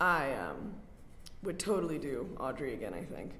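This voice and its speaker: A woman speaks at a moderate pace with an American accent, lively intonation and vocal fry. Audible room echo surrounds her voice. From US South, North Carolina. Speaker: art student. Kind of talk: casual chat. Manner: animated.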